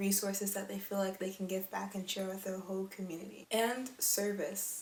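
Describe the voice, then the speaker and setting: Noticeable background noise behind a woman talking. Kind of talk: casual talk to camera.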